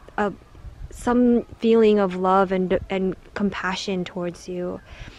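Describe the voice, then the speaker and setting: A soft-spoken woman at a medium pitch, with fairly even intonation. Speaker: tarot card reader. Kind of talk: pick-a-card tarot reading. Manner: slow.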